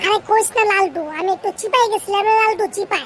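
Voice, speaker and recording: This cartoonish character voice sounds squeaky. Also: woman, extremely high pitch for a woman, moderate pace. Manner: wheedling, sheepish.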